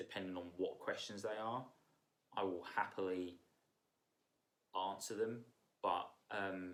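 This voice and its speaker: A man at a fairly slow pace with long, frequent pauses. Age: 30s. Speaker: vlogger sharing personal mental health story. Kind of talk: personal testimony, unscripted monologue. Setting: sitting on the floor indoors. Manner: casual, hesitant with many fillers.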